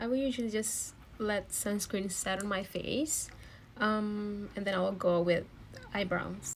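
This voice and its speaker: A woman's voice is heard with noticeable background noise around it. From Malaysia. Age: 20s. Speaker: beauty vlogger. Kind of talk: makeup tutorial. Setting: at home. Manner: casual, hesitant with fillers.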